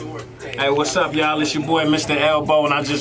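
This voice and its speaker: Music plays in the background and audible room echo is present. A man speaks at a fairly quick pace in a fairly high pitch. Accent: American. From Northern Virginia, US. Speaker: rapper. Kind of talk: radio interview. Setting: radio studio.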